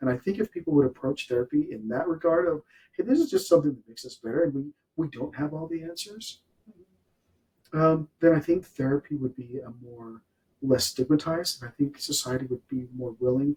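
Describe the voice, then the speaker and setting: Somewhat breathy and fairly high-pitched, a man speaks with a dark, mellow tone in a dry, close sound with no echo. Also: ordinary pitch variation, fairly quick pace. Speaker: podcast host, real estate professional. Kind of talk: interview podcast host talk. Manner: upbeat.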